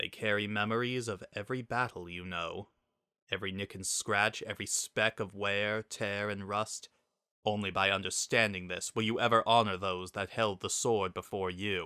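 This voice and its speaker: A man does a raspy, put-on character voice at a fairly low pitch with monotone, flat intonation. He speaks at a moderate pace in a very clean recording with a silent background. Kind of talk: dramatic fanfiction reading. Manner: reverent, calm.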